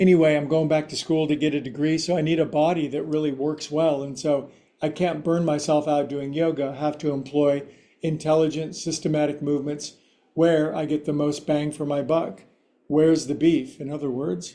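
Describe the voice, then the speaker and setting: With a dark, mellow tone, a man talks at a fairly high pitch in monotone, flat intonation. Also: moderate pace. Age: 60s. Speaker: yoga teacher. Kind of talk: live-streamed yoga class instruction. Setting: live stream with Zoom participants.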